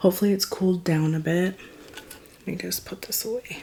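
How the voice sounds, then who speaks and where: A woman speaks in a soft-spoken way, her pitch varying an ordinary amount. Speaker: mukbang YouTuber. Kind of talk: casual eating vlog. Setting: at home, late night. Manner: quiet, soft-spoken.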